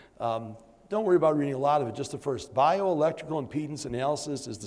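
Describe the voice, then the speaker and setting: A man talks at a very fast pace with fairly high pitch and ordinary pitch variation, and the room echo is audible. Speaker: doctor giving conference lecture. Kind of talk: lecture. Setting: conference room with audience. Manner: halting, many fillers.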